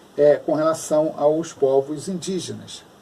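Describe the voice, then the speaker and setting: Noticeable background noise sits behind this man. His pitch is fairly high. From Rio de Janeiro, Brazil. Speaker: teacher. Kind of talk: informal lecture to viewers. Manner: conversational, frequent 'né'.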